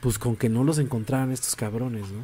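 Dark and mellow describes this voice's tone. A somewhat breathy quality runs through it. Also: man. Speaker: podcast host. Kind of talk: casual chat.

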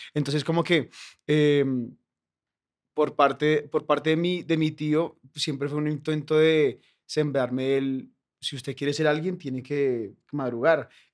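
A man's normal speaking voice, fairly high in pitch, with fairly even intonation and a fairly slow pace. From Colombia, Bogotá. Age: 20s. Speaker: comedian. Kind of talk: casual chat.

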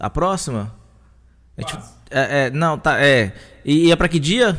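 A man's fairly high-pitched voice moves at a fairly slow pace. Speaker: podcast host. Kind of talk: live podcast chat. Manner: loud.

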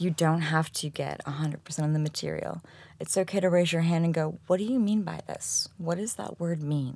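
A woman speaks at a fairly quick pace in a dark, mellow tone, her pitch fairly low with ordinary variation, on a very clean recording with a silent background. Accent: American. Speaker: technical SEO consultant. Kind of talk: interview. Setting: studio.

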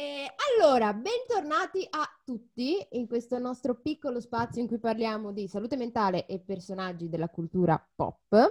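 Pitched high, a woman's voice swings very widely in pitch at a moderate pace. The sound is dry and close, with no echo. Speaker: podcast co-host. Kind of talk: casual chat.

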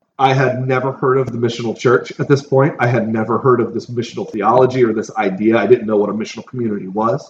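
At a fairly quick pace, a man talks in a somewhat breathy, medium-pitched voice. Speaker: pastor. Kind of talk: casual chat. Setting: big room. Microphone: poor audio, room echo.

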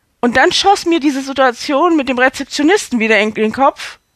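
A high-pitched woman's voice at a fairly slow pace, with very wide pitch swings. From Hamburg, northern Germany. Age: 40s. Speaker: actress and podcaster. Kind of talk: storytelling monologue. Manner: animated.

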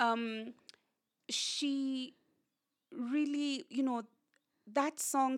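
A woman with a Kenyan accent. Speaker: communications director and author. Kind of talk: casual interview. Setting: her home.

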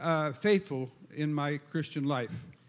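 A man speaks at a very slow pace. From Minnesota. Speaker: visiting preacher. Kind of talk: sermon. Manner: interpreted in short phrases with pauses.

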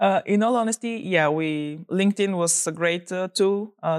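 With a Bulgarian accent, a woman speaks with ordinary pitch variation in a dry, close sound with no echo, on a very clean recording with a silent background. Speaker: startup founder. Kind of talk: interview.

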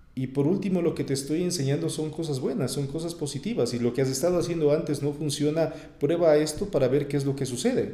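This man talks very fast with hardly any pauses, his fairly high voice carrying a dark, mellow tone and ordinary pitch variation. There is audible room echo. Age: 30s. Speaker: radio announcer. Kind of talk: interview.

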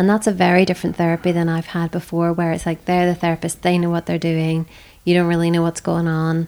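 A woman speaks very fast in a fairly low pitch. Her tone is dark and mellow, and her intonation stays flat and monotone. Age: 40s. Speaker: abuse survivor. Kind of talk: testimony.

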